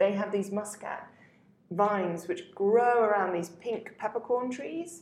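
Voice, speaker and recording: This woman speaks in a southern English accent. Her pitch is medium with ordinary variation. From southern England, Hampshire. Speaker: wine journalist. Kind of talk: casual chat.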